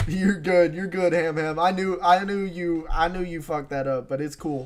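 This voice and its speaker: A man talks at a moderate pace with high pitch. Noticeable background noise is present. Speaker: live-streamer reacting to manga chapter. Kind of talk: live reaction stream, casual chat. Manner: animated, excitable.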